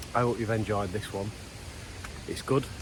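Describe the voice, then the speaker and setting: A man with a strong Lancashire accent speaks at a fairly quick pace, with noticeable background noise and audible room echo. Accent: strong Wigan Lancashire. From Wigan, Lancashire, northern England. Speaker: outdoor vlogger. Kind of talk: casual vlog talk to camera. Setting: outdoors, walking in a valley.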